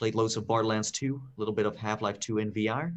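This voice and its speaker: The speaker has a Dutch accent. The intonation stays fairly even. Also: man. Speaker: podcast co-host. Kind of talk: casual chat. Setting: live stream. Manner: halting, many fillers.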